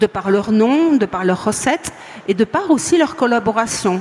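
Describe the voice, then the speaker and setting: Noticeable background noise accompanies a woman speaking at a fairly slow pace. Her intonation is lively. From France, Franche-Comté. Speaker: beer sommelier, author and editor. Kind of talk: conference talk. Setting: stage with live audience at a trade fair.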